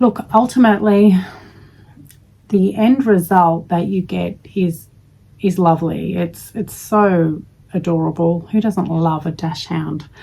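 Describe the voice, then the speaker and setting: A woman with an Australian accent, fairly low in pitch, at a fairly slow pace with ordinary pitch variation. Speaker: crochet vlogger. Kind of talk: casual chat.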